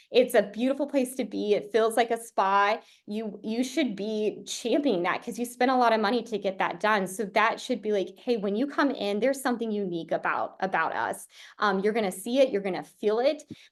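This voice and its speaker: A woman speaks in an animated tone at a fairly quick pace, her pitch fairly high, over a quiet background. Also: ordinary pitch variation. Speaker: marketing coach. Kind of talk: webinar website review. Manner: fast.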